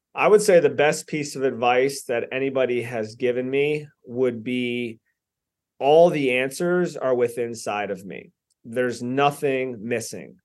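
A man's normal speaking voice of medium pitch, with ordinary pitch variation, at a fairly slow pace, over a quiet background. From US, southeast Florida (Lantana, Lake Worth area). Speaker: personal development speaker and investor. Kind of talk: interview conversation.

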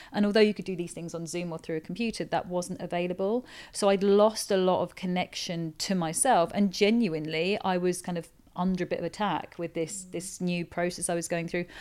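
A plain, everyday voice from a woman, fairly low in pitch with fairly even intonation and a fairly quick pace, on a very clean recording with a silent background. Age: 40s. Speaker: performance coach and author. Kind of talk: casual interview. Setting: penthouse suite on Ibiza, own microphone.

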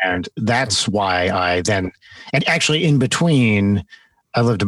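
An unremarkable speaking voice from a man, fairly low-pitched, at a moderate pace, with a dry, close sound and no echo. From US Northeast (North Jersey). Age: 40s. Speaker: musician and comedian, former academic. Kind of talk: interview.

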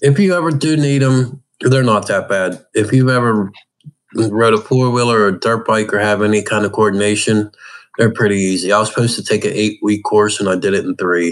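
A man with an American accent and a plain, everyday voice talks at a fairly quick pace, his pitch fairly low with ordinary variation. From Pittsburgh, Pennsylvania. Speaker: adaptive hunter and angler. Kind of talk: casual interview.

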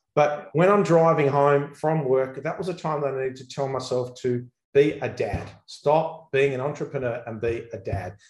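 In an Australian accent, a somewhat breathy voice moves at a moderate pace with ordinary pitch variation. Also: man. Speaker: accountant and business coach. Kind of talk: interview. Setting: video call.

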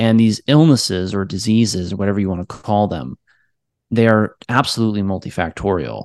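A man with a plain, everyday voice speaks at a fairly quick pace, fairly low in pitch with ordinary pitch variation. The sound is dry and close with no echo, over a quiet background. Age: 30s. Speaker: physician. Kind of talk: interview.

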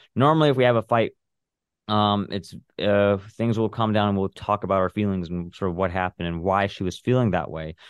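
In a normal speaking voice, a man talks at a fairly quick pace, his fairly low pitch showing ordinary variation. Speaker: son of a parent with DID. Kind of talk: personal testimony in interview.

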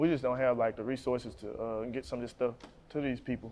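A man with a medium-pitched voice talks fairly quickly, his intonation fairly even. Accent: Mississippi. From Jackson, Mississippi. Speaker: rapper. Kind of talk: interview.

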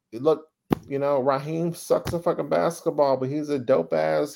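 A man with an American accent and an unremarkable speaking voice talks at a moderate pace and a fairly high pitch. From US South, Dallas, Texas (Oak Cliff). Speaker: advertising creative executive. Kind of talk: casual interview chat.

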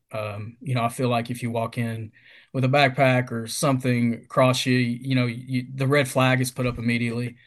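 Against a quiet background, a man with a Kentucky accent talks at a fairly quick pace in a monotone, flat delivery. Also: medium pitch for a man. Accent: Kentucky Southern US. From Kentucky, US. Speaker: retail field sales representative. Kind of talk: casual interview.

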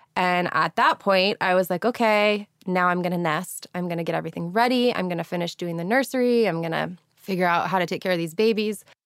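In an ordinary speaking voice, a woman talks at a medium pitch and fairly quick pace with ordinary pitch variation and hardly any pauses, in a very clean recording with a silent background and a dry, close sound with no echo. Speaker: blogger, model and mother of premature twins. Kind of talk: casual interview.

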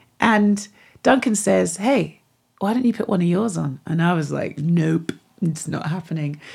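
With vocal fry and a fairly low pitch, a woman speaks at a moderate pace with ordinary pitch variation. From England, West Country (Devon). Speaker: musician and radio DJ. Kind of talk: interview.

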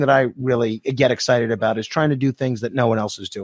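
A man with an American accent and a normal speaking voice talks at medium pitch and a fairly quick pace, with a dry, close sound and no echo. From New York City, Staten Island. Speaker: radio host. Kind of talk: casual chat.

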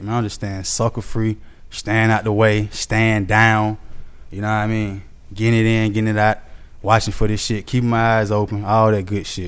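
A man with an American accent speaks at a fairly quick pace, his fairly low voice monotone and flat. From Atlanta, Georgia (Southside, Zone 3). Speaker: rapper. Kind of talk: casual interview chat.

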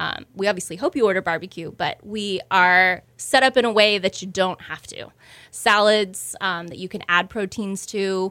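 Against a silent background in a very clean recording, a woman with an American accent speaks at a moderate pace in an ordinary speaking voice, with a medium pitch, fairly even intonation and big swings in loudness. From Houston, Texas. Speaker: restaurant co-owner. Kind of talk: interview.

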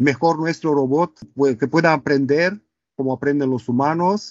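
A man with a Romanian accent speaks fairly slowly in a fairly high voice. His intonation stays fairly even. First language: Romanian (speaking Spanish). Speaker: robotics professor and company co-founder. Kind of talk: casual interview. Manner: halting, many fillers.

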